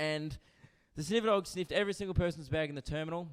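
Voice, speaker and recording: In an Australian accent, a man speaks at a fairly high pitch with ordinary pitch variation. His tone is animated. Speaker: stand-up comedian. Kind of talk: stand-up. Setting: stage with audience.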